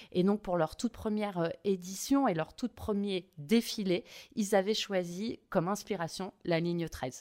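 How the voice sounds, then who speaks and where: A woman talks fairly slowly at a medium pitch, in an unremarkable speaking voice with ordinary pitch variation. The recording is very clean, with a silent background. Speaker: local government marketing director. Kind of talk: interview.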